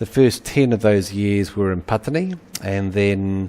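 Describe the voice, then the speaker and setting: A man with a New Zealand accent speaks at a moderate pace in a fairly low pitch. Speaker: university lecturer, anthropologist. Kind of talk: webinar lecture. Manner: halting, many fillers.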